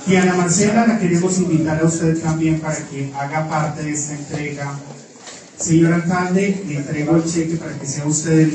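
There is audible room echo and light background noise as a man with a fairly high voice talks at a moderate pace with fairly even intonation. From Colombia. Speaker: event emcee. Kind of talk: ceremony announcing. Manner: formal. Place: meeting room.

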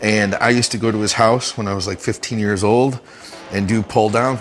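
A man talks with ordinary pitch variation. Faint music plays in the background. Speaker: coach. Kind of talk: casual tour narration. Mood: relaxed, nostalgic. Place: gym. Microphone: phone near.

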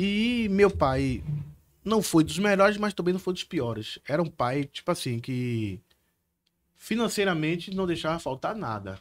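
A man with a Bahian accent speaks in a high voice at a fairly slow pace, his pitch swinging very widely. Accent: Bahian Brazilian Portuguese. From Salvador, Bahia, Brazil; Bahia, Brazil. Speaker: criminal lawyer, former police officer; criminal lawyer. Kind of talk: casual chat. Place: studio. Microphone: studio mic.

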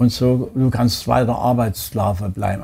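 Dark, mellow man's voice with vocal fry, a very slow pace and ordinary pitch variation. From Chemnitz, Saxony, Germany; Saxony, Germany. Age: 90s. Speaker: Holocaust survivor. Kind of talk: interview answer. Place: home room.

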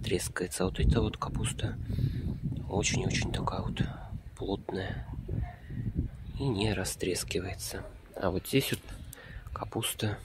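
Fairly slow delivery with long, frequent pauses, dry sound with no echo, and loud background noise. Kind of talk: casual vlog commentary. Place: garden. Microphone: phone near.

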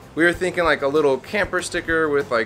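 Faint music plays behind a man who talks at a fairly quick pace. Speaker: vlogger. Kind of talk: casual vlog chat. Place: street. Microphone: phone near.

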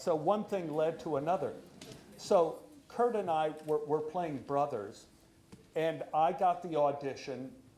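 Crowd noise fills the background as a man speaks at a moderate pace with ordinary pitch variation. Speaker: actor telling a story. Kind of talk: storytelling monologue. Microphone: lapel.

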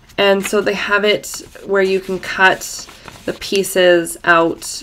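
Croaky and full of vocal fry, a woman's voice sits fairly low in pitch with a fairly bright tone.

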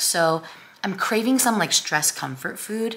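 Her delivery is fairly slow, coming from a woman speaker. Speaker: vlogger. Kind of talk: casual vlog chat. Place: home room. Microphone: phone near.

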